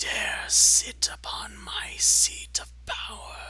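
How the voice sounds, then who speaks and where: In a put-on character voice, a man speaks extremely high and raspy at a very slow pace. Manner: commanding, ominous.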